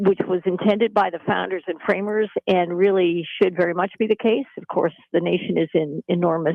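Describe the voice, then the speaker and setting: At a moderate pace, a woman talks in a fairly low pitch with ordinary pitch variation. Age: 60s. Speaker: former congresswoman and political commentator. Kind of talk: talk radio interview. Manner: halting.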